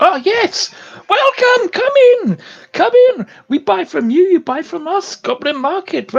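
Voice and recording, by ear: A put-on, squeaky character voice at an extremely high pitch, with very wide pitch swings and a fairly slow pace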